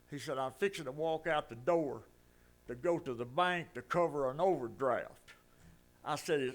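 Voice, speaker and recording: A man talks with ordinary pitch variation at a moderate pace. The background is silent on this very clean recording. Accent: Alabama. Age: 80s+. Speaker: resident speaking at public comment. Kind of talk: storytelling at public meeting.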